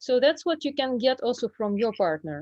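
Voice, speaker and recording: A woman's fairly high voice with a Russian accent, dry and close with no echo, over a quiet background. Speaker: Russian language teacher. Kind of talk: online group presentation. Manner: halting, many fillers.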